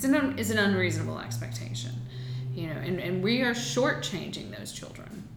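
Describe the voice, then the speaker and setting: With an American accent, a woman speaks at a moderate pace amid audible room echo and noticeable background noise. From US South, Aiken, South Carolina. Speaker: political candidate. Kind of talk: interview.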